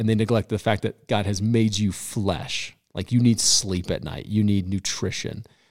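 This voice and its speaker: On a very clean recording with a silent background, a man with a normal speaking voice and a fairly low pitch talks with hardly any pauses. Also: fairly even intonation, moderate pace. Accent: American. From Colorado. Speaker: pastor. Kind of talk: casual chat. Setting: studio.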